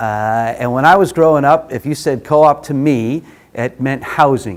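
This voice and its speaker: Someone with a New York accent speaks at a moderate pace with ordinary pitch variation. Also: man, fairly high pitch for a man. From New York City, Brooklyn. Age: 50s. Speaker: workshop facilitator. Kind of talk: workshop presentation. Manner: frequent filler uh.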